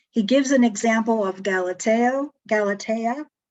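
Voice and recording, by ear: Fairly slow delivery in a slightly mellow tone, with ordinary pitch variation. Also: woman.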